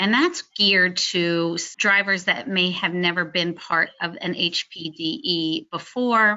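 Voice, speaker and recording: A woman with a plain, everyday voice and medium pitch talks at a fairly slow pace with ordinary pitch variation and hardly any pauses. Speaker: motorsport driver education committee chair. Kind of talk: webinar presentation. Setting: online webinar.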